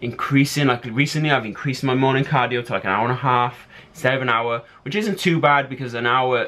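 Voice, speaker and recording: In an English accent, a man speaks very fast with ordinary pitch variation. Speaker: fitness vlogger and bodybuilder. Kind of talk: casual vlog talk.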